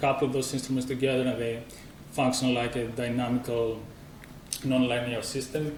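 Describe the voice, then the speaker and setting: A man with a strong Greek accent, medium-pitched and fairly quick, amid noticeable background noise and audible room echo. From Greece. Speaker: musician and composer. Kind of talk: conference presentation.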